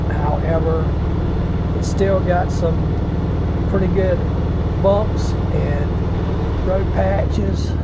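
A man speaks with long, frequent pauses over loud background noise. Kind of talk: casual ride commentary. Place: motorbike.

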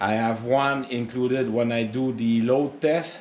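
A man talks fairly slowly, with light noise in the background. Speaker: DIY equipment vlogger. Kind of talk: casual tutorial chat. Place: garage. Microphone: phone near.

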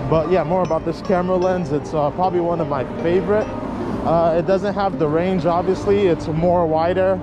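A man at a moderate pace with ordinary pitch variation, dry sound with no echo, and music in the background. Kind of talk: casual vlog chat. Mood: relaxed, chill. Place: street. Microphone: phone near.

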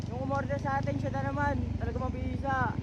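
Moderate-paced male speech amid noticeable background noise and audible room echo. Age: young. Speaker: vlogger and street vendor. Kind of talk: casual vlog narration. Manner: animated.

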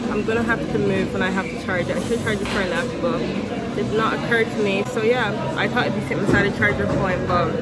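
A woman at a very fast pace with hardly any pauses, amid loud background noise. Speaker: student vlogger. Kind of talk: casual vlog chat. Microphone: phone near.

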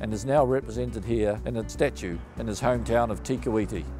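A man's voice, dry with no echo, with clear music in the background. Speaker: rugby writer. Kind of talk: interview questions. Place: street.

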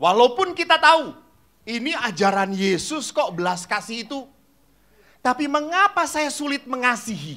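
Extremely high-pitched man's voice, raised and projected, bright and sharp, animated, with very wide pitch swings at a moderate pace over a quiet background. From Indonesia, Java; Indonesia. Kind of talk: sermon. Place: hall. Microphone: handheld.

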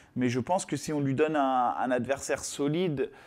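A man talking at a moderate pace. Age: 30s. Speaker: MMA fighter; guest. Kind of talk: casual chat. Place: studio.

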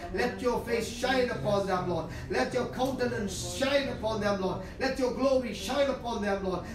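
A man speaks at an extremely high pitch with hardly any pauses. The room echo is audible and there is noticeable background noise. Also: ordinary pitch variation, moderate pace. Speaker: preacher giving prophecy. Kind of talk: fervent prophetic prayer, declaring and praying aloud. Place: home room.

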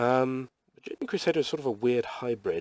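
A man speaks with a British accent at a fairly slow pace. The sound is dry with no echo and the background is quiet. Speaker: webcomic artist. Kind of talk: casual drawing tutorial talk. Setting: poor quality microphone.

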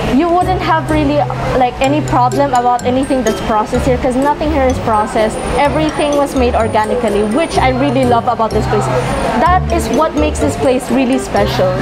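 Fairly quick female speech over loud background music. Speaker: vlogger. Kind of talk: casual vlog chat. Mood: excited, enthusiastic. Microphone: phone near.

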